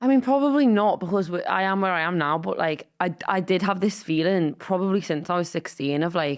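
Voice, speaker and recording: With a Liverpool accent, a woman of medium pitch talks at a fairly quick pace with lively intonation and hardly any pauses, on a very clean recording with a silent background. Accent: Scouse. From Merseyside, England (Wallasey, Wirral). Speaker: comedian and writer. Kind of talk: casual chat.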